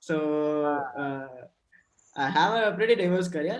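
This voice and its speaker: This man has a fairly high voice. He speaks with a Gujarati Indian accent. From Gujarat, India (Rajkot). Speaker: diversity and inclusion professional. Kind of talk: panel discussion. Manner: halting, hesitant.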